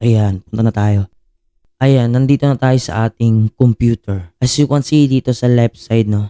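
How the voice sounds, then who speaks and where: A man talks at a moderate pace and medium pitch. His tone is dark and mellow, his intonation fairly even. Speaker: YouTuber, load conversion seller. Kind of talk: tutorial. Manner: casual, many filler sounds. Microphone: echo added via sound card.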